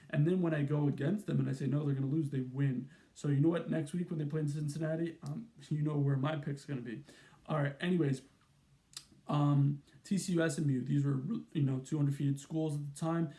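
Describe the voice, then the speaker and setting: A man with a fairly high pitch and a dark, mellow tone speaks at a fairly quick pace, somewhat breathy, with fairly even intonation. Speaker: college football YouTuber. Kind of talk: sports analysis monologue. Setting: at his mom's home. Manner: fast; casual, filler-heavy.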